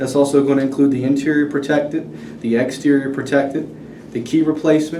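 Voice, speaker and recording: A man talks at a very fast pace in a medium pitch. Noticeable background noise and audible room echo come through. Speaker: car dealership finance manager. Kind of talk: role-play sales pitch.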